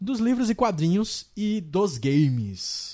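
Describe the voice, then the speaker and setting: Recorded very cleanly against a silent background, a man with a dark, mellow tone makes very wide pitch swings. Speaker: podcast host. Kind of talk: casual chat.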